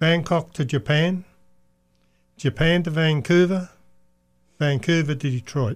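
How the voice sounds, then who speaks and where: A man with an Australian accent speaks at a fairly high pitch, with ordinary pitch variation and long, frequent pauses. The recording is very clean and the background silent. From Australia (Perth). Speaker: race car owner. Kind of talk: casual chat. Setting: studio.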